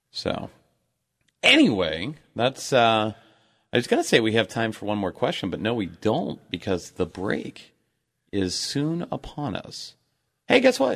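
A man with a medium-pitched voice talks at a fairly slow pace with lively intonation and long, frequent pauses over a quiet background. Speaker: radio host. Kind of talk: radio DJ patter: bantering show-host chat with ad reads and plugs. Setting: studio.

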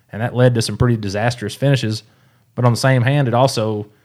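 A man's medium-pitched voice with a Tennessee accent at a fairly quick pace, on a very clean recording with a silent background. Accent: Southern US (Tennessee). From East Tennessee. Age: 30s. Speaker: professional bass angler. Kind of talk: casual interview chat. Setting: studio.

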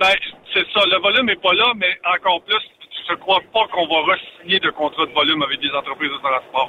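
Over noticeable background noise, a man with a high voice speaks at a fairly quick pace with ordinary pitch variation. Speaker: trucking industry commentator. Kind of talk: casual chat.

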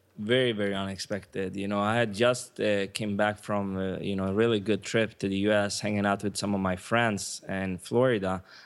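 A man with a Swedish accent, fairly low-pitched and monotone, flat in intonation, at a fairly quick pace with hardly any pauses, in a very clean recording with a silent background. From Sweden. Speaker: online marketer. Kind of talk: interview.

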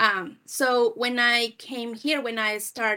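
A woman talks with a Spanish accent in a bright, sharp tone and fairly even intonation. Her recording is very clean, with a silent background. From Peru. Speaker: sales manager. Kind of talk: interview.

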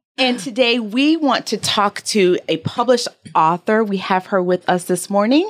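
A woman speaks in an unremarkable speaking voice at a moderate pace with lively intonation. The recording is very clean, with a silent background. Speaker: podcast co-host. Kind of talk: casual chat.

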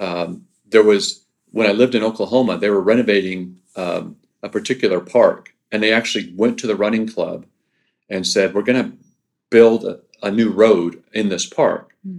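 An ordinary speaking voice, a man's, with medium pitch and ordinary pitch variation. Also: moderate pace. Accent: American. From Southern California. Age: 50s. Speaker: race director. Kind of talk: casual interview. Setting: office.

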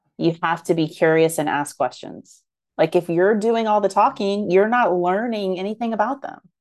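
A woman with an unremarkable speaking voice talks at a moderate pace with ordinary pitch variation, against a quiet background. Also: medium pitch for a woman. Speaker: marketing podcast co-host. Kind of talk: casual banter.

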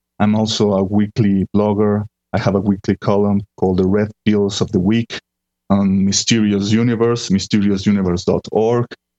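A man with fairly low pitch speaks at a moderate pace in a flat monotone, his loudness very even and the sound dry and close with no echo. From Mexico. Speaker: paranormal blogger. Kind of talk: interview. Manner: halting with repetitions.

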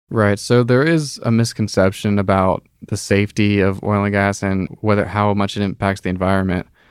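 A man talks at a moderate pace with hardly any pauses and fairly even intonation, in a plain, everyday voice. The recording is very clean, with a silent background. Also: fairly low pitch for a man. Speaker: summer intern in a drilling fluids lab. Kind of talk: casual interview.

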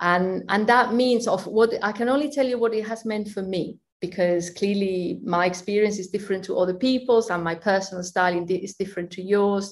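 A woman with a Spanish accent talks at a fairly quick pace, taking hardly any pauses. Her pitch is medium, with ordinary variation. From Spain. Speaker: finance leader and accountant. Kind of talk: interview.

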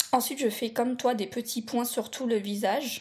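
With fairly even intonation, a woman speaks at a high pitch. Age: 30s. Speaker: blind makeup podcast co-host. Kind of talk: scripted makeup tutorial.

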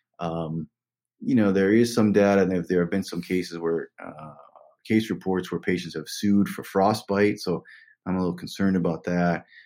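A man's very deep, low voice with a dark, mellow tone, moderate pace and fairly even intonation, on a very clean recording with a silent background. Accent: American. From West Virginia. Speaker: orthopedic surgeon. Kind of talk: interview conversation.

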